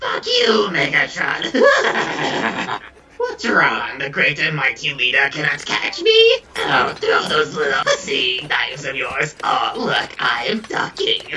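A man speaks in a put-on character voice at a fairly slow pace. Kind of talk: comedic gaming parody with character voices. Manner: taunting, foul-mouthed, shrill.

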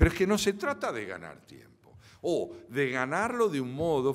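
Against a quiet background, a man with an Argentine accent speaks with very wide pitch swings. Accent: Argentine Spanish (Rioplatense). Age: 70s. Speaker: philosopher and lecturer; lecturer. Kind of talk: lecture. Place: hall. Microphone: podium.

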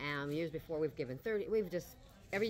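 A woman's very deep, low voice with lively intonation and a fairly quick pace, plus light background noise. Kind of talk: interview answer. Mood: proud, warm. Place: shop. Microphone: camera far.

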